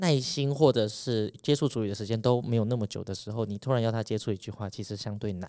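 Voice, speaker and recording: A man speaks at a fairly quick pace in a dark, mellow tone. The recording is very clean and the background silent. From Taiwan, urban. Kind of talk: interview.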